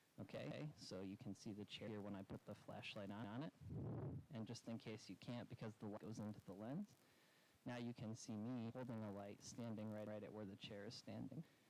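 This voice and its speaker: A man's fairly low, unremarkable speaking voice at a fairly quick pace, with very even loudness and fairly even intonation. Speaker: livestreamer testing audio setup. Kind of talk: casual tech test narration. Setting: outdoors, then back inside.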